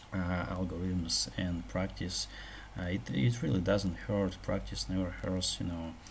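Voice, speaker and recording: Audible room echo surrounds speech delivered at a fairly slow pace with ordinary pitch variation. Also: man. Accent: Russian. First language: Russian. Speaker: programming tutorial youtuber. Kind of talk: tutorial. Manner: halting, many fillers and repetitions.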